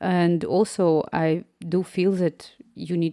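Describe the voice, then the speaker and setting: A woman with a Slavic accent has a medium pitch and a dark, mellow tone. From Ukraine. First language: Ukrainian or another Slavic language. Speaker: app developer and live streamer. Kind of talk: casual live stream chat. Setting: live stream.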